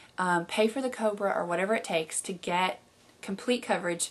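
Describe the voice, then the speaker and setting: Speaking with a Southern US accent, a woman keeps a moderate pace and a medium pitch. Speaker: video blogger living with MS. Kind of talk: casual video blog Q&A. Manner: frequent fillers (um, uh).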